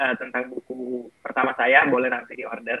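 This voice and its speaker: This man has a medium pitch. He speaks at a fairly slow pace. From North Sumatra, Indonesia (Batak area, Sidikalang). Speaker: foundation founder, scholarship alumnus. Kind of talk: talk show interview. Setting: virtual event, online talk show.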